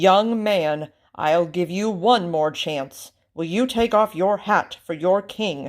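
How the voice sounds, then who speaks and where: A loud, put-on character voice at a middle pitch speaks at a very slow pace. The recording is very clean, with a silent background. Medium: read story. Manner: loud, commanding.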